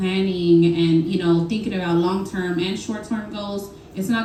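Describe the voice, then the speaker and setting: Her voice sits at a medium pitch. Audible room echo and noticeable background noise are present around the woman. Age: 30s. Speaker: business owner, panel speaker. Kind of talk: panel talk at networking event.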